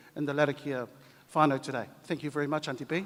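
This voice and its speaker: Fairly high for a man, this voice races along at a very fast pace. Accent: New Zealand. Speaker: language commission head. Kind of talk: conference speech.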